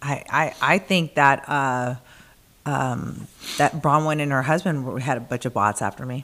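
A woman's very deep, low-pitched voice at a fairly slow pace, with ordinary pitch variation. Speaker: co-host. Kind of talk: casual chat. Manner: animated, opinionated.

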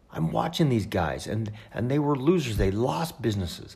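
This man talks at a moderate pace in a fairly low pitch, his voice showing vocal fry and very wide pitch swings. Audible room echo surrounds the recording. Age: 50s. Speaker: podcast host. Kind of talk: personal storytelling monologue. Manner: halting, many fillers.

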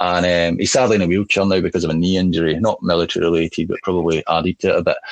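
A man with a Scottish accent speaks at a very fast pace in a very deep, low pitch and a monotone, flat intonation. His loudness stays very even, and the sound is dry and close with no echo. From Glasgow, Scotland. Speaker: army veteran and salesperson. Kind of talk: casual interview. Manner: enunciating carefully, relaxed.

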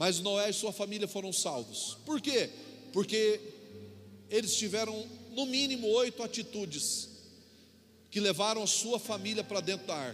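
A man's high-pitched voice at a moderate pace, broken by long, frequent pauses. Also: ordinary pitch variation. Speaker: pastor. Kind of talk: sermon. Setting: church.

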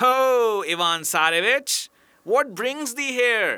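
In a put-on character voice, a man talks at a very slow pace with an extremely high pitch, recorded very cleanly against a silent background. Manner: knowing, ominous.

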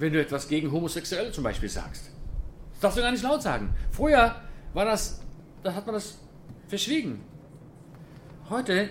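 Amid audible room echo, a man with a high pitch makes very wide pitch swings and leaves long, frequent pauses. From Germany, then Israel from age 11. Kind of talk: lecture. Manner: casual, conversational.

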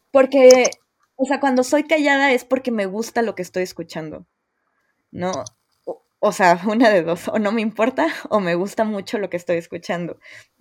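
A woman with a Mexican accent, fairly high-pitched and lively in intonation, at a moderate pace broken by long, frequent pauses. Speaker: podcast host. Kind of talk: casual chat.

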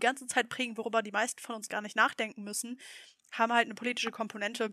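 A woman speaks very fast in a fairly high pitch, her tone bright and sharp. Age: 20s. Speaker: state parliament member. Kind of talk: casual interview. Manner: hesitant with fillers.

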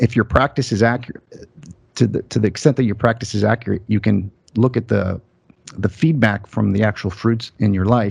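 Somewhat breathy, a man with an American accent talks at a fairly quick pace with fairly even intonation. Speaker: YouTuber on philosophy and religion. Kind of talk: casual interview conversation. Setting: video call.

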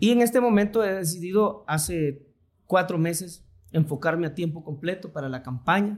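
A man speaks with a Honduran accent in a high voice and ordinary pitch variation. The recording is very clean, with a silent background. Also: moderate pace. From Honduras, Tegucigalpa (born in Choluteca). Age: 40s. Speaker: politician, vice-mayor candidate. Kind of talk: podcast interview. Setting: studio in a clinic.

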